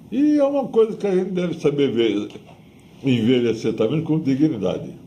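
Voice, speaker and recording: With audible room echo around him, a man speaks at a moderate pace in a dark, mellow tone, his fairly high pitch swinging very widely. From Brazil, Santos. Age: 80s+. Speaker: retired weightlifting coach and physiotherapist. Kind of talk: oral history interview.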